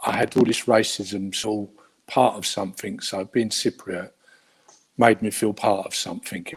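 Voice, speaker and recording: A man with a Cockney accent talks at a moderate pace in a fairly low pitch, his intonation flat and monotone. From London, England. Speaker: guest of Cypriot heritage. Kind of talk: interview. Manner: hesitant.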